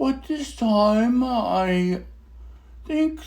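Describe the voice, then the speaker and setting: Putting on a character voice, a man speaks at a high pitch with lively intonation. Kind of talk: theatrical dramatic monologue. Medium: solo performance. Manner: rambling, hesitant, with many uh's and restarts.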